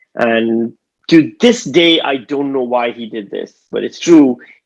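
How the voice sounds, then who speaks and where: A man with a Pakistani accent. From Pakistan, Karachi. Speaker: stand-up comedian. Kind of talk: stand-up. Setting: video call.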